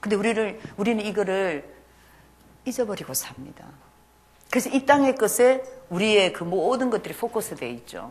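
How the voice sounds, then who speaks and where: Against noticeable background noise, a woman with a fairly high pitch talks at a moderate pace with lively intonation, big swings in loudness, and long, frequent pauses. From Argentina. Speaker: missionary. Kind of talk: sermon. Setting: church.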